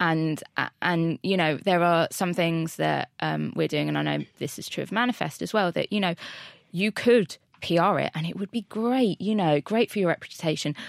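On a very clean recording with a silent background, a woman talks at a moderate pace. Hers is an ordinary speaking voice, and the sound is dry and close with no echo. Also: fairly low pitch for a woman, ordinary pitch variation. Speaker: talent head at agency. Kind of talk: casual chat.

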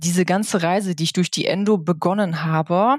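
Using a normal speaking voice, a woman talks at a medium pitch with ordinary pitch variation. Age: 30s. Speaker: podcast guest sharing illness experience. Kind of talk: interview.

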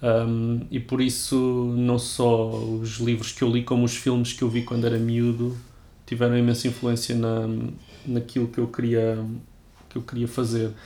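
Speech comes fairly slowly in a monotone, flat intonation. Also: man, medium pitch for a man. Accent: Lisbon. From Lisbon, Portugal. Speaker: writer. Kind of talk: interview conversation. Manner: halting, frequent word repetitions.

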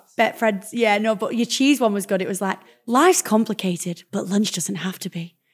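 Recorded very cleanly against a silent background, a woman with a plain, everyday voice speaks at a moderate pace and fairly high pitch, her intonation lively and her loudness swinging widely. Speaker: podcast host. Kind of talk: casual interview chat. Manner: excitable.

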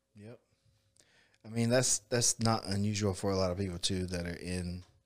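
Very clean recording, silent background. A man with a very deep, low pitch speaks in a Southern US accent with fairly even intonation. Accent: Southern US (Georgia). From US South, south Georgia (Bainbridge). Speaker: jiu-jitsu coach and gym owner. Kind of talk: casual chat. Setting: studio.

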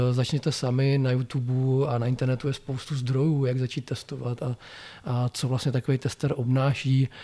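A man's somewhat breathy voice, medium in pitch, with a dark, mellow tone and a moderate pace. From Czechia, Blansko (South Moravia). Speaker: software testing trainer and consultant. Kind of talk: interview. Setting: in person.

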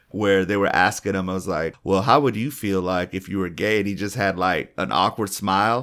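The delivery is fairly quick, with hardly any pauses and ordinary pitch variation. It is an ordinary speaking voice. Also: man, fairly low pitch for a man, very clean recording, silent background. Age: 30s. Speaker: comedian and podcast co-host. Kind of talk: casual chat.

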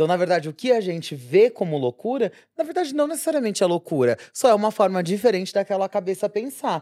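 On a very clean recording with a silent background and a dry, close sound with no echo, a woman with a dark, mellow tone talks at a very fast pace with hardly any pauses and very wide pitch swings. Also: medium pitch for a woman. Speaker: podcast co-host, nurse. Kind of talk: casual chat.

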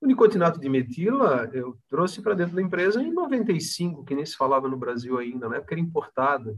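The voice moves through very wide pitch swings at a fairly quick pace, with hardly any pauses. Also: man, high pitch for a man. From Santa Catarina, Brazil (Palhoça, near Florianópolis). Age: 50s. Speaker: company founder and director. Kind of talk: interview. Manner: halting.

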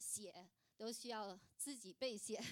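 Very slow, fairly even speech from a woman with a fairly high voice. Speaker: churchgoer sharing as a mother. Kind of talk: testimony. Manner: halting.

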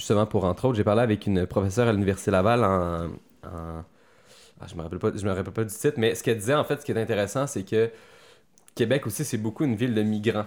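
On a very clean recording with a silent background, a man with a fairly low pitch and ordinary pitch variation talks at a very fast pace, broken by long, frequent pauses. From Quebec City. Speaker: actor and army veteran. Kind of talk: casual interview.

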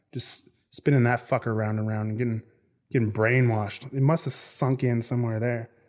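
Here a man speaks at a fairly quick pace. His pitch is medium. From Canada. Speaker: podcast host. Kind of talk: casual monologue. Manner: animated.

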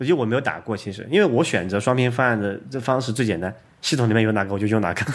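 Here a man talks at a very fast pace. His pitch is medium, with a slight Sichuan accent. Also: ordinary pitch variation. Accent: slight Sichuan-accented Mandarin. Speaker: programmer and tech podcast host. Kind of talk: casual chat.

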